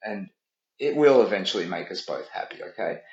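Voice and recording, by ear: Speaking at a fairly quick pace with ordinary pitch variation, a man is heard with audible room echo.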